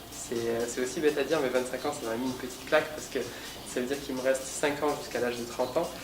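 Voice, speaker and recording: A man speaks very fast at a medium pitch in a flat monotone. Noticeable background noise and audible room echo come through. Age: 20s. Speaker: fashion model. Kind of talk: interview. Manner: hesitant, many fillers.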